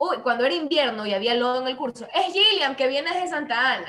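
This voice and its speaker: A woman's high voice with very wide pitch swings. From Manabí, Ecuador. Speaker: actress. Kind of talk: casual interview chat. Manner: animated, humorous.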